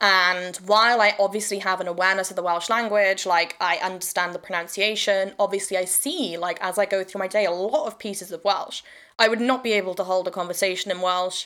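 Speaking at a fairly quick pace, a woman uses a medium pitch and a bright, sharp tone, with fairly even intonation. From South Wales, Swansea. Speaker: podcast host and witchcraft teacher. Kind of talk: casual solo talk. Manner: rambling, hesitant with fillers.

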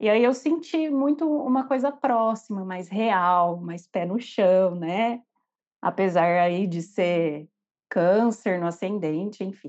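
Against a quiet background, a woman speaks at a very slow pace and medium pitch with lively intonation. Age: 30s. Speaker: nurse and tarot reader. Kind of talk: personal testimony.

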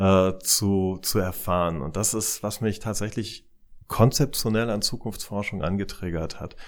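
On a very clean recording with a silent background, a man with a fairly low voice and ordinary pitch variation speaks at a fairly slow pace. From East Germany. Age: 40s. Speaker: CEO of a futures research institute. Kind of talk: interview. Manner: halting with frequent repetitions.

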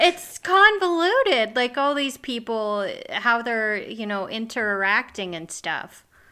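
A woman with an American accent speaks at a very slow pace with hardly any pauses, her fairly high, bright, sharp voice swinging very widely in pitch and greatly in loudness, on a very clean recording with a silent background. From US Midwest. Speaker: podcast co-host. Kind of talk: casual conversational podcast chat.

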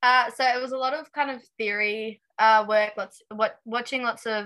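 Her pace stays moderate. The woman has an Australian accent. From Tasmania, Australia. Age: 20s. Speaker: aspiring race car driver. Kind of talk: casual interview chat. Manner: hesitant, many fillers.

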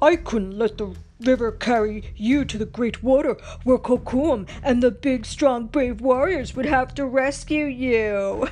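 A female-sounding put-on character voice speaks at a high pitch and fairly slow pace over clear background noise. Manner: mocking imitation, exaggerated.

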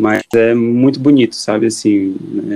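The pitch here is medium. The speaker is a man. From Ceará, Brazil (Quixadá). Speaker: psychiatrist. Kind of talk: casual chat.

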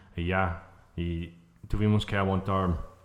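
A man with an American accent speaks in a flat monotone. His pace is very slow. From United States. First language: English (speaking Spanish). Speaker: brewer. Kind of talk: interview. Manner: halting.

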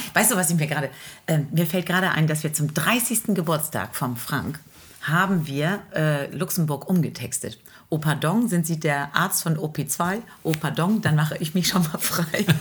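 Her voice very deep and low in pitch, a woman speaks at a moderate pace, somewhat breathy, with ordinary pitch variation. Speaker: teacher, singer and podcast co-host. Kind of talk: casual chat.

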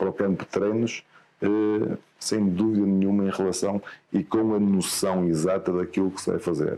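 Fairly slow and fairly low, a man's dark, mellow voice keeps fairly even intonation. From northern Portugal, Guimarães. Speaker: football coach. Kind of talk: interview. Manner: halting, many repetitions and fillers.

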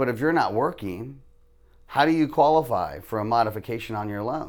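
Speaking at a fairly quick pace with an American accent, a man at medium pitch uses a normal speaking voice with ordinary pitch variation, recorded very cleanly against a silent background. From US South. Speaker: mortgage lender. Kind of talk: casual interview.

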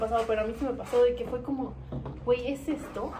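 Her speech comes fairly quickly. The room echoes audibly, and background noise is noticeable. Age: 20s. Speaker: podcast guest. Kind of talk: casual chat.

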